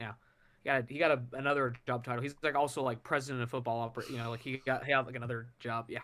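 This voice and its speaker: On a very clean recording with a silent background, a man at medium pitch speaks at a very fast pace in a monotone, flat intonation with a bright, sharp tone. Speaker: sports podcast co-host. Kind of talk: casual sports chat. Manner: sarcastic, joking.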